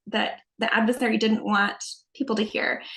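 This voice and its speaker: Fairly even intonation marks this fairly quick speech in a Utah accent. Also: woman. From Utah, Salt Lake County. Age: 40s. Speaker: religious video creator. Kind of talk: interview.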